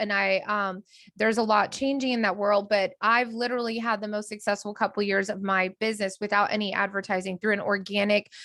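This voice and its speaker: A woman's fairly high, bright and sharp voice, animated in tone and fairly quick in pace. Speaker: business coach. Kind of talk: online training. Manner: fast.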